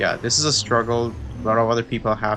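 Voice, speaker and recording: There is noticeable background noise as a man speaks in a relaxed tone. He has a non-native accent. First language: not English. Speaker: gaming youtuber. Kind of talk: casual gameplay commentary. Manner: hesitant, many fillers.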